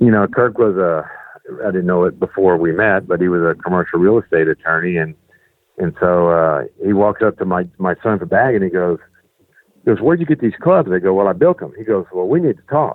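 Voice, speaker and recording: Very deep, low pitch from a man, fairly quick delivery, and ordinary pitch variation. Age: 60s. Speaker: custom golf club fitter. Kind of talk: interview. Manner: halting, many fillers and repeats.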